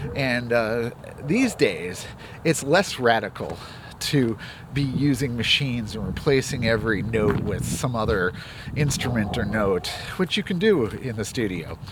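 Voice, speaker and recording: Over noticeable background noise, a man talks at a fairly slow pace and medium pitch with lively intonation. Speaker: music commentator and producer. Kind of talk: casual vlog monologue. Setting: outdoors, on a walk. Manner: speaking in higher range of his voice.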